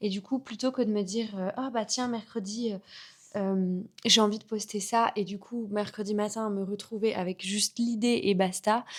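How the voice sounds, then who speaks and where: Her delivery is monotone and flat as a woman speaks at a moderate pace. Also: fairly high pitch for a woman. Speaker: vlogger and content creator. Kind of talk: casual vlog chat.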